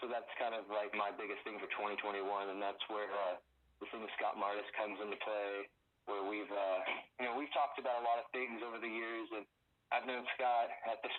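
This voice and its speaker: The delivery moves fairly quickly. It comes in an American accent. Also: man. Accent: slight Southern accent, mostly absent. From US South (Florida, Tennessee). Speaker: YouTuber and cryptid researcher. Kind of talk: casual interview chat. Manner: casual, many filler words.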